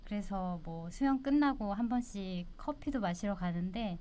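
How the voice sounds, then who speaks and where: A woman speaks at a very slow pace in a dark, mellow tone, medium in pitch with ordinary pitch variation. Audible room echo surrounds her voice. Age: 60s. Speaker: retiree. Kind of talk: interview.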